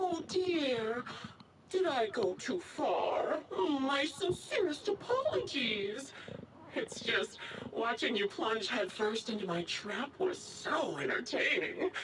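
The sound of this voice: Using a put-on character voice, a woman with a fairly high pitch speaks at a slow pace with big pitch swings, and audible room echo surrounds her. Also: fairly bright tone.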